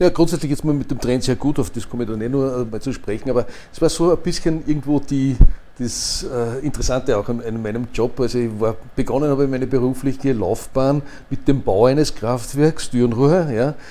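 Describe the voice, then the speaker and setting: A man with an ordinary speaking voice talks at a fairly quick pace, using a medium pitch and ordinary pitch variation. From Upper Austria. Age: 60s. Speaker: retired energy company executive. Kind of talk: interview.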